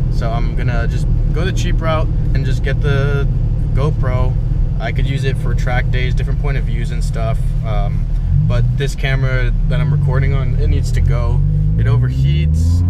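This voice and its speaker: The sound is dry, with no echo, but loud background noise runs under it. The pitch varies in an ordinary way. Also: man, moderate pace. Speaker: driver vlogger. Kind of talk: casual vlog chat. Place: car. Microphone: phone near.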